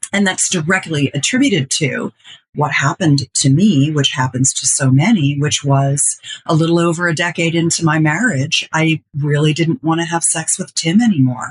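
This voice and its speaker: A woman speaks at a very deep, low pitch with ordinary variation and a somewhat breathy quality. The sound is dry and close, with no echo. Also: moderate pace. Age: 60s. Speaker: intimacy expert and business owner. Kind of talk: interview testimony. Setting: podcast.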